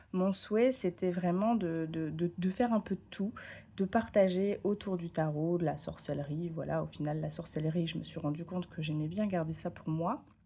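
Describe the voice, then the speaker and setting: A woman with a dark, mellow, somewhat breathy tone and fairly low pitch speaks at a moderate pace with ordinary pitch variation. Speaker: tarot content creator. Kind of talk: casual vlog talk. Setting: home, camera on tripod. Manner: hesitant, many fillers.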